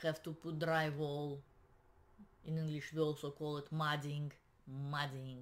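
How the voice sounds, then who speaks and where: A woman with a Russian accent speaks at a very deep, low pitch in a monotone, flat way. Her pace is fairly slow, with long, frequent pauses. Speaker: realtor. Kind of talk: tutorial; casual vlog chat. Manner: halting. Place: home room. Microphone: webcam.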